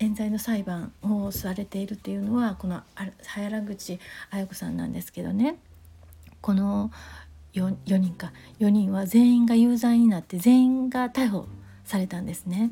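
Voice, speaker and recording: A woman's somewhat breathy, dark, mellow voice at a medium pitch and moderate pace, with big swings in loudness. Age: 40s. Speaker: podcaster. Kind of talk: solo monologue. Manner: halting, many fillers.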